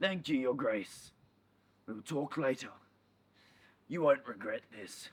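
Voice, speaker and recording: A raspy, put-on character voice at a fairly slow pace, with long, frequent pauses. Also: man, fairly high pitch for a man. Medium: short film. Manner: fawning, oily.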